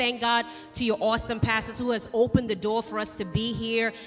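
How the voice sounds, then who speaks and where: The speaker has a slight Turks and Caicos accent and a fairly quick pace. Faint music plays in the background. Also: woman. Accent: slight Turks and Caicos Islands. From Turks and Caicos Islands. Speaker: pastor's wife greeting a church congregation. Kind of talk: sermon greeting and announcement. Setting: church stage. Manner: warm, enthusiastic. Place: church. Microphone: handheld.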